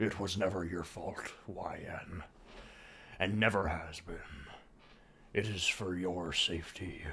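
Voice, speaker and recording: Doing a raspy, put-on character voice with a very deep, low pitch, a man talks at a fairly slow pace with long, frequent pauses against clear background noise. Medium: solo performance. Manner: calm, gentle.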